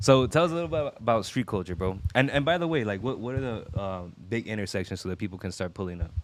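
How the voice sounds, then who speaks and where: In an American accent, a man speaks very fast with hardly any pauses. His fairly low voice is animated, with very wide pitch swings. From Orange County, California. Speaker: podcast host. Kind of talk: casual interview chat. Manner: animated, casual slang.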